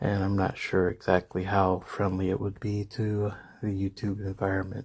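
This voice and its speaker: There is a dark, mellow tone here. Some breathiness runs through the voice. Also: man. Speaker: fantasy story narrator. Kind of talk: casual talk to camera. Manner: hesitant, casual.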